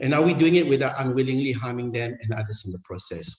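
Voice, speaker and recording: Medium-pitched, somewhat breathy male speech at a fairly quick pace, with audible room echo. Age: 50s. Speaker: senior anaesthetist giving a medical talk. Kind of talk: conference lecture. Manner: hesitant, many fillers.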